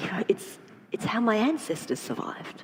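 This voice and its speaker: A woman with an Australian accent talks over noticeable background noise. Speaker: trauma therapist. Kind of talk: panel discussion. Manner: halting, repeats words.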